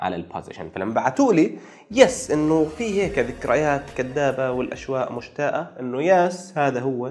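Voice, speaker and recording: A man talks at a fairly slow pace with a fairly high pitch and lively intonation. Light background noise can be heard. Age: 40s. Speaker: project management professional / YouTuber; YouTuber. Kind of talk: casual storytelling monologue. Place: home room. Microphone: lapel.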